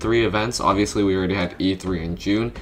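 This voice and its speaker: Talking at a very fast pace, a man keeps a fairly low pitch. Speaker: gaming YouTuber. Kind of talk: casual talk to camera. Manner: casual, hesitant with fillers.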